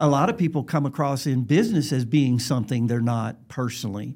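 In a Southern US accent, a man speaks at a fairly quick pace with a dark, mellow tone. The recording is very clean, with a silent background. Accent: Southern US, noticeable. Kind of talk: casual interview chat.

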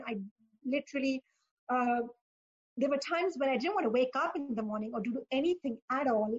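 A woman talks at a fairly quick pace. Her pitch is high. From Pakistan. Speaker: career coach and author. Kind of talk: interview.

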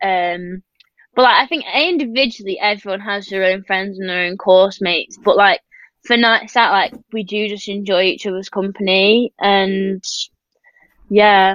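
Her pace is fairly slow. The woman keeps her intonation fairly even. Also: medium pitch for a woman. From northern England. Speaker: professional swimmer. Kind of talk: casual interview chat.

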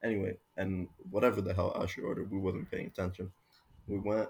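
With an American accent, a man speaks in a fairly low, somewhat breathy voice with monotone, flat intonation. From Miami, Florida. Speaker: student. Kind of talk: casual chat.

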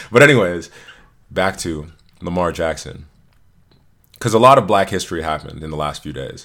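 Speaking at a fairly quick pace with long, frequent pauses, a man with a very deep, low pitch sounds bright, sharp and animated, his intonation lively and his loudness swinging widely, all in a very clean recording with a silent background. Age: 20s. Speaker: podcast host. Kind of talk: casual banter podcast chat. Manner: animated, joking, profane.

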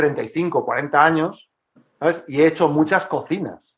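A man with a high-pitched voice speaks at a fairly slow pace. His intonation stays fairly even. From Madrid, Spain. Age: 40s. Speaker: woodworker. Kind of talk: casual interview. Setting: online live stream.

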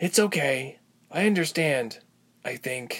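The speaker puts on a character voice at a low-to-middle pitch and a fairly slow pace. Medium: read story. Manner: soft, earnest.

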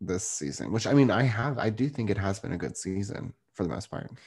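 A man talks at a fairly low pitch with some vocal fry. His tone is animated and playful. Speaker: podcast host, real estate agent. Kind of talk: casual chat, podcast recap. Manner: animated, playful.

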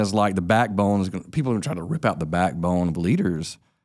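A man with a Southern US accent speaks at a fairly quick pace. His intonation is lively, and the recording is very clean with a silent background. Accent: Southern US (Georgia). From US South, south Georgia. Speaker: pastor. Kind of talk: casual chat.

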